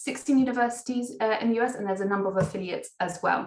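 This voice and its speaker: A woman with a British accent at a very fast pace. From England. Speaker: international education recruitment manager. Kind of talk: webinar presentation.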